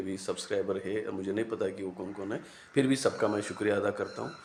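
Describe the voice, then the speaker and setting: A man with a fairly low pitch talks at a moderate pace in a flat, monotone intonation. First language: Marathi (speaking Hindi). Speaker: YouTube commentator. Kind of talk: casual monologue to camera. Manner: halting, many fillers.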